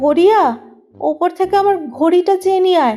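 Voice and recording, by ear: A woman puts on a shaky character voice at a moderate pace. Music plays in the background.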